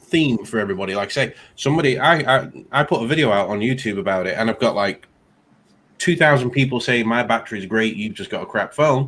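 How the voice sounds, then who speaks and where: Over a silent background in a very clean recording, a man with an English accent talks at a fairly quick pace with lively intonation. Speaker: tech YouTuber. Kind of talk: casual chat.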